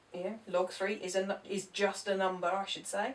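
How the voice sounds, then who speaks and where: In an ordinary speaking voice, a woman with a medium pitch talks at a moderate speed. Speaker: maths teacher. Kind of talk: tutorial.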